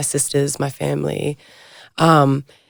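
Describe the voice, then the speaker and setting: In an Australian accent, a woman talks with vocal fry. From South Australia, Adelaide. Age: young. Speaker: model. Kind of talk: casual chat.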